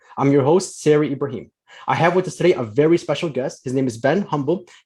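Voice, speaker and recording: A man with a fairly high, somewhat breathy voice and a dark, mellow tone talks at a very fast pace with ordinary pitch variation. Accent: American. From US Midwest, Chicago. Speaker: podcast host, financial planner. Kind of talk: podcast interview.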